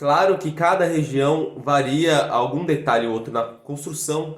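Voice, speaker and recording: A man speaking at a very slow pace. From Brazil, São Paulo city. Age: 20s. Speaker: fife player and teacher. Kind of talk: video lesson.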